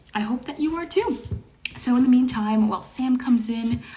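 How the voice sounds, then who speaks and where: High-pitched speech from a woman at a moderate pace, over noticeable background noise. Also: big swings in loudness. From Quebec, Montreal. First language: French. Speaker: online show host. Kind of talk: casual chat. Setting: livestream. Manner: halting.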